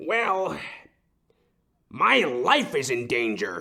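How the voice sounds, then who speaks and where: A man speaks at a very slow pace in a put-on character voice. His tone is pompous. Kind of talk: comic overacting. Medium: audio drama. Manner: barking, pompous, blustering.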